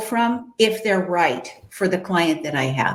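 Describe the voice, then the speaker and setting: Amid noticeable background noise and audible room echo, a woman's medium-pitched voice swings very widely in pitch. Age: 60s. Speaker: matchmaker and dating coach. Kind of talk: interview.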